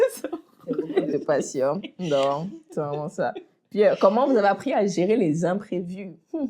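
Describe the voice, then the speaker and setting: Her pitch swinging very widely around a medium level, a woman speaks at a very slow pace. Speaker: podcast co-host. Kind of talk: casual chat.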